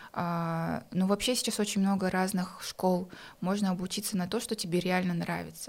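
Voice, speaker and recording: A woman speaks at a moderate pace and medium pitch, her intonation monotone and flat. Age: 20s. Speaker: entrepreneur. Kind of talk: casual chat.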